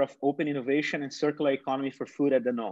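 Male voice with a Portuguese accent against a quiet background. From Brazil, São Paulo state countryside. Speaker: nonprofit founder and panel moderator. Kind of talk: moderated online panel discussion. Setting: video call.

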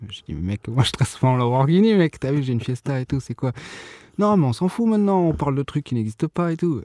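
A man with a dark, mellow tone at a medium pitch, very wide pitch swings and a fairly quick pace, on a very clean recording with a silent background and a dry, close sound with no echo. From Bordeaux, France. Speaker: rapper and sound engineering student. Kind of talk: casual interview chat. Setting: recording studio. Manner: relaxed, casual.

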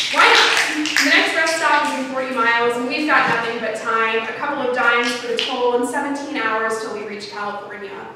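Over loud background noise and audible room echo, a woman speaks at a moderate pace. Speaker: poet. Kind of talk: spoken-word poem performed to an audience, storytelling about a road trip. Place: stage. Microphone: camera far.

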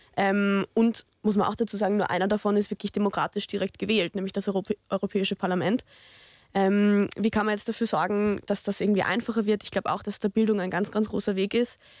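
Over a quiet background, a woman speaks at a very fast pace with a medium pitch and monotone, flat intonation, the sound dry with no echo. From Austria, Lower Austria (Tulln); Lower Austria. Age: 20s. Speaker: youth politician, law student; youth politician. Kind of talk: discussion. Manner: hesitant with many fillers. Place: studio. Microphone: studio mic.

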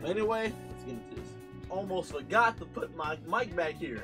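Clear music can be heard in the background. A man talks over it. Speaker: streamer. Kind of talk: casual reaction commentary. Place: home room. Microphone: studio mic.

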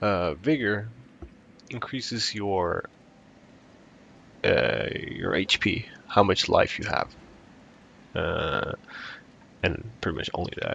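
A man speaking at a very slow pace, with long, frequent pauses. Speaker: gaming YouTuber. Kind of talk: casual gameplay commentary.

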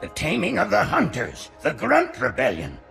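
Faint music plays behind a man's put-on character voice, high in pitch and fairly bright in tone, with vocal fry, very wide pitch swings and a moderate pace.

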